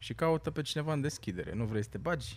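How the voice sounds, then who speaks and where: With an unremarkable speaking voice and lively intonation, a man speaks at a moderate pace on a very clean recording with a silent background. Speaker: stand-up comedian. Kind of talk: casual chat.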